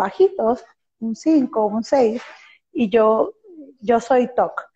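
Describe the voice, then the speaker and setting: This woman's voice is fairly high, with a dark, mellow tone. It is somewhat breathy. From Venezuela. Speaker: podcast host and performer. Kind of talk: interview.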